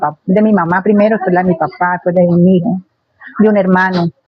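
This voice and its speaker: In a monotone with flat intonation, a woman speaks at a medium pitch. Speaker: interviewee. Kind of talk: interview.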